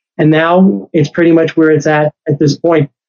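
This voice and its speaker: An ordinary speaking voice from a man with an American accent, fairly high in pitch, at a moderate pace. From New York City. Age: 60s. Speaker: author and sales executive. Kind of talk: casual interview chat.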